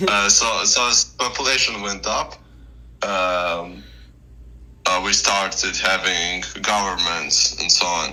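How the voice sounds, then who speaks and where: A man speaks at a very slow pace over noticeable background noise, with audible echo in the room. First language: not English. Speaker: debate guest. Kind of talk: casual discussion. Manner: halting, many fillers and restarts.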